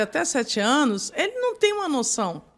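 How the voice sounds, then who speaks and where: Very wide pitch swings mark this woman's speech. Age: 60s. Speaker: psychoanalyst and pastor. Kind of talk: podcast interview. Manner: halting.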